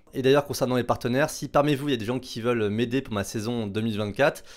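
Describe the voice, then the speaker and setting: Fairly even intonation marks this man's speech. The recording is very clean, with a silent background. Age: 30s. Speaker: racing driver and content creator. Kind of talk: casual talk to camera. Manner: fast; hesitant, many fillers.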